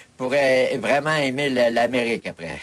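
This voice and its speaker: A medium-pitched man in a Quebec accent, over noticeable background noise. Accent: Québécois French. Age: 60s. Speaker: hammock maker. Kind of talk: casual chat. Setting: shop. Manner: animated.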